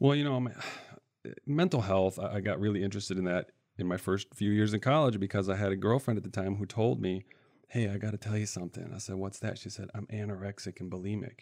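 A man with a Midwestern US accent talks very fast in a fairly low voice. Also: ordinary pitch variation, very clean recording, silent background. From central Michigan. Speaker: financial aid advisor. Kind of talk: interview. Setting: studio.

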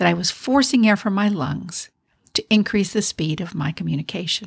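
At a moderate pace, a woman speaks at a medium pitch with lively intonation and vocal fry. The sound is dry and close with no echo, on a very clean recording with a silent background. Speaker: leadership podcast host. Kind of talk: solo podcast monologue on leadership.

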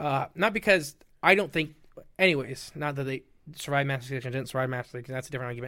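A very fast-talking man with an American accent, a bright, sharp tone and a fairly high pitch, on a very clean recording over a silent background. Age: 20s. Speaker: podcast guest, cryptid podcaster. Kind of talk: casual chat.

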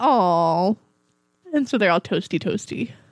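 A put-on character voice with a sing-song lilt. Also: woman, medium pitch for a woman. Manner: cutesy, sweet, sing-song.

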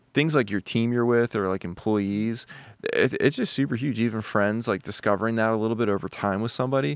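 Over a quiet background, a man with an American accent talks at a fairly quick pace, at medium pitch with ordinary pitch variation. He has an ordinary speaking voice. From Philadelphia, US. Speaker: podcast co-host. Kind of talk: casual chat. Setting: studio.

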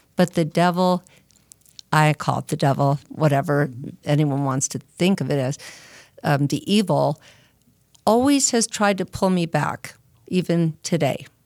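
Speaking at a fairly slow pace with a Californian accent, a woman with a very deep, low pitch and ordinary pitch variation leaves long, frequent pauses, her voice dry and close with no echo. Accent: Californian American English. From Southern California (Arcadia). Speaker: person in addiction recovery. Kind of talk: testimony.

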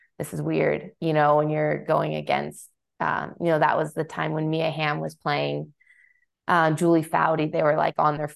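A woman with an American accent at a moderate pace over a quiet background. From Southern California. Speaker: soccer coach and former international player. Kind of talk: casual interview.

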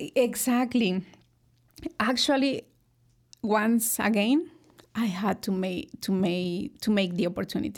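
In a Mexican accent, a woman speaks at a fairly slow pace with long, frequent pauses. Her pitch is fairly high, and its variation is ordinary. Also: very clean recording, silent background. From Mexico, Hidalgo. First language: Spanish. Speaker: food company executive. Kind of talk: interview. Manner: hesitant, many fillers.

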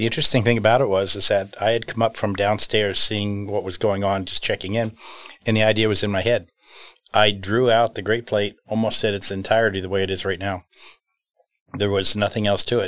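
A man with an American accent rattles along at a very fast pace in a fairly low, monotone, flat voice. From New York, US. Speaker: business owner. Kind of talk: interview.

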